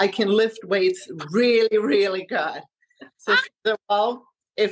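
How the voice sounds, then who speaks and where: Speaking in a German accent, a woman goes at a fairly slow pace with fairly high pitch and ordinary pitch variation. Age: 40s. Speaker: health coach. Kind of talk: interview.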